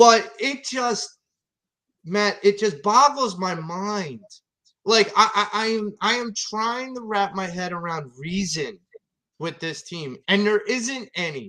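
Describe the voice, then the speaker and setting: In a put-on character voice, a man uses a raised, projected, strained delivery at a high pitch and a fairly slow pace. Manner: restrained anger.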